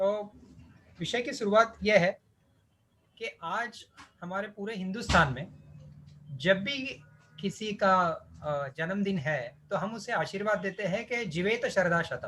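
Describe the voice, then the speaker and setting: In a Marathi accent, the speaker uses a raised, projected voice with a bright, sharp tone, ordinary pitch variation, and long, frequent pauses. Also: man, high pitch for a man. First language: Marathi (speaking Hindi). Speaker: ayurvedic physician and lecturer. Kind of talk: lecture.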